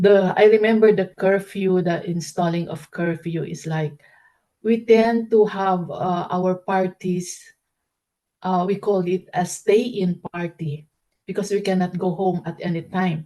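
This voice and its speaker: With a dark, mellow tone, a woman talks fairly slowly at a medium pitch and with fairly even intonation. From Philippines, Baguio City. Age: 60s. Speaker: interviewee, grandmother. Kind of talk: interview answers. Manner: halting, with fillers.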